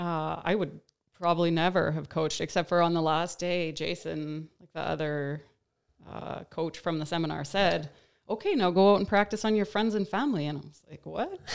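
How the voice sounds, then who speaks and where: A woman with a fairly low voice talks at a moderate pace, her pitch varying in an ordinary way and her loudness swinging widely. It is a plain, everyday voice in a very clean recording with a silent background. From Saskatchewan, Canada (Star City/Tisdale). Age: 40s. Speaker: fitness coach. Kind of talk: casual chat.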